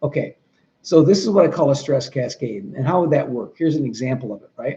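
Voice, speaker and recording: This man talks at a very fast pace with an American accent and lively intonation. His fairly high voice is somewhat breathy, with a dark, mellow tone. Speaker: trainer for 911 dispatchers. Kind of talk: training talk.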